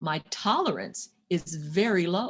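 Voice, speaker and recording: A woman speaks with a fairly low pitch, a somewhat breathy quality and lively intonation. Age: 60s. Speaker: financial coach and workshop leader. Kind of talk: interactive workshop lecture.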